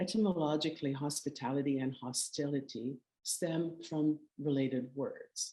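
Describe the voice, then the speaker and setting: A woman with a Quebec accent speaks at a very deep, low pitch with a dark, mellow tone. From Canada, Quebec. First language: French. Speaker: curator. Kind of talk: lecture. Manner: halting.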